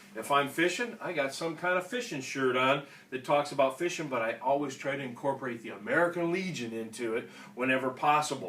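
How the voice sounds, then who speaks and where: Against noticeable background noise, a man with a Minnesota accent talks in a fairly high voice. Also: ordinary pitch variation. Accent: Minnesota, Fargo-like. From Minnesota (Austin). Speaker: veterans organization state official, Marine veteran. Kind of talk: instructional talk. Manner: casual, conversational.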